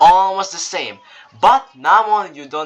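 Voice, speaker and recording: This man's voice is high-pitched, with lively intonation. He speaks at a very slow pace. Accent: non-native. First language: not English. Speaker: game tutorial creator. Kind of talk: tutorial. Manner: halting, with fillers and restarts.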